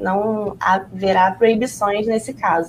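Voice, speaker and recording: A woman with a somewhat breathy voice talks at a medium pitch. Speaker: journalist. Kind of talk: live news roundup.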